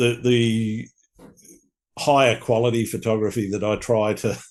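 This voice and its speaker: A man with an Australian accent at medium pitch, fairly slow and flat in intonation, with long, frequent pauses. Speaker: podcast host. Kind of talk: casual chat. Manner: halting.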